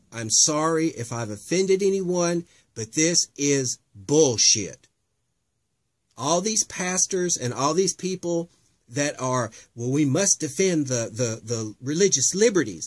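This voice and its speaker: A man with an American accent at a fairly slow pace, lively intonation and a dry, close sound with no echo. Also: fairly high pitch for a man. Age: 40s. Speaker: drag queen and activist vlogger. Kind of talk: emotional personal testimony. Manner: impassioned, halting with fillers.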